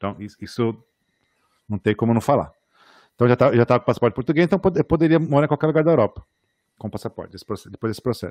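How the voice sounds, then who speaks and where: A man's medium-pitched voice with lively intonation at a very fast pace, on a very clean recording with a silent background. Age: 40s. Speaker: architect and podcast host. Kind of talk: casual chat. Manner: halting.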